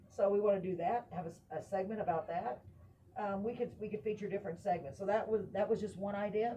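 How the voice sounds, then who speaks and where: A woman with a Texan accent talks very fast at a medium pitch, somewhat breathy and dark and mellow in tone, with ordinary pitch variation. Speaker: talk show host. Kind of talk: casual chat. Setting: live stream.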